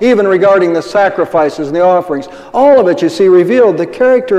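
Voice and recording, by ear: The intonation is lively as the speaker reads aloud in a natural voice.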